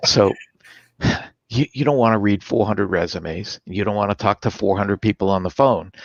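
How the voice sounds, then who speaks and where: An ordinary speaking voice from a man, fairly low in pitch, at a fairly quick pace with ordinary pitch variation and a dry, close sound with no echo. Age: 60s. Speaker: sales performance expert. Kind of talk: interview.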